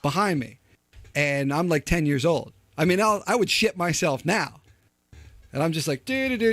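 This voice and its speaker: Loud, animated male speech, high-pitched, with long, frequent pauses, music in the background, and a dry, close sound with no echo. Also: lively intonation, moderate pace. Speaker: podcast host. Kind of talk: casual chat.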